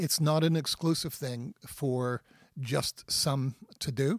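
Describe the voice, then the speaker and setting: A man's fairly high, somewhat breathy voice with a Canadian accent and ordinary pitch variation, dry and close with no echo, on a very clean recording with a silent background. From Canada. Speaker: Bible teacher. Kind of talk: teaching on faith and healing in a podcast interview.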